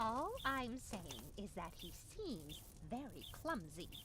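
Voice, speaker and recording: Loud background noise runs under a put-on character voice. It is fairly high-pitched and fairly slow. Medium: video game. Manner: fretful, worrying.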